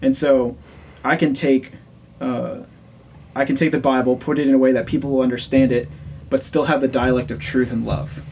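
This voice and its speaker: The speech runs at a fairly quick pace with fairly even intonation and long, frequent pauses. Noticeable background noise can be heard. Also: man, medium pitch for a man. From Louisiana. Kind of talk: casual chat.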